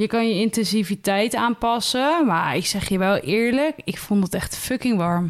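With a normal speaking voice, a woman talks at a fairly slow pace in a fairly high pitch, her intonation lively, her loudness very even and her pauses hardly there. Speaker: podcast co-host. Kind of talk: casual chat.

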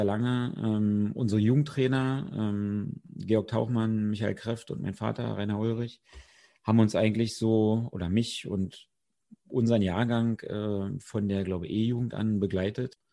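Speaking at a fairly slow pace, a man with a normal speaking voice keeps a medium pitch and ordinary pitch variation. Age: 30s. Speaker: amateur footballer. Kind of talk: podcast interview.

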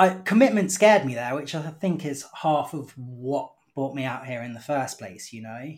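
On a very clean recording with a silent background, a man with a British accent speaks at a moderate pace with hardly any pauses, a fairly high pitch, lively intonation and big swings in loudness. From United Kingdom. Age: 30s. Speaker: English teacher. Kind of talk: casual chat.

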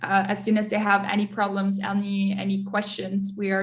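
Her voice is somewhat breathy and medium in pitch. The woman speaks at a moderate pace. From Netherlands, then Munich from age 11. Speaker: enterprise account manager. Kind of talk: interview.

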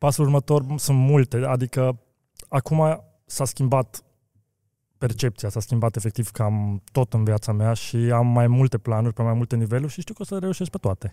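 A man's medium-pitched voice in a dark, mellow tone at a moderate pace, with ordinary pitch variation, on a very clean recording with a silent background and a dry, close sound with no echo. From Romania (Brașov), then Austria from age seven. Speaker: car wheel business owner. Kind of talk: interview.

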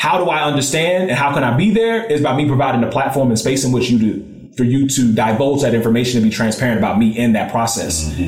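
Over music in the background, a man at medium pitch talks at a very fast pace with hardly any pauses, very even loudness and lively intonation. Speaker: podcast co-host. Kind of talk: casual chat.

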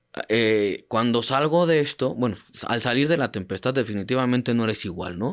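The clip is a very clean recording with a silent background. It features an ordinary speaking voice at a moderate pace, showing ordinary pitch variation. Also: man. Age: 30s. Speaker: paralympic athlete and sports coach. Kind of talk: interview testimony.

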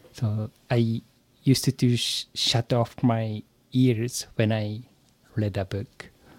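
Dry and close with no echo, a man speaks very slowly with a Japanese accent. His intonation stays monotone and flat. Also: medium pitch for a man. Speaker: software engineer, English learner. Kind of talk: interview answers. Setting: remote call. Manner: halting, hesitant.

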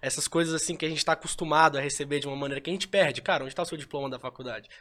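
A man's bright, sharp, fairly high-pitched voice with ordinary pitch variation, on a very clean recording with a silent background. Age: young. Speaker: NFT company tech specialist. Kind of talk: casual chat.

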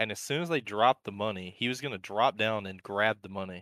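With an unremarkable speaking voice, a man talks at a fairly quick pace and a fairly low pitch, using ordinary pitch variation. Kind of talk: casual chat. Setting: live stream.

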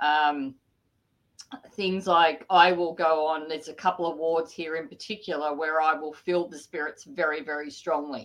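A woman's very deep, low voice in an Australian accent, at a moderate pace, with fairly even intonation and big swings in loudness. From Sydney area, New South Wales, Australia. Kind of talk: interview. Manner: hesitant, many fillers.

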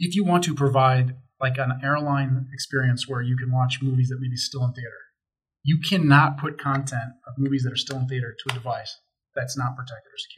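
A man with a medium pitch talks at a fairly quick pace, his intonation fairly even and his voice somewhat breathy. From Chicago. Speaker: tech company sales manager. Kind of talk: casual chat.

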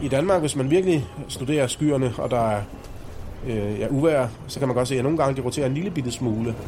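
Over noticeable background noise and audible room echo, a man speaks fairly quickly at medium pitch with ordinary pitch variation. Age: 40s. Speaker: meteorologist. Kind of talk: explanatory interview for children.

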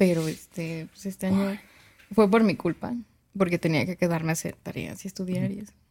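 A woman's dark, mellow tone at medium pitch, fairly quick pace, ordinary pitch variation and big swings in loudness. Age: young. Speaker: podcast co-host. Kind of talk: casual chat.

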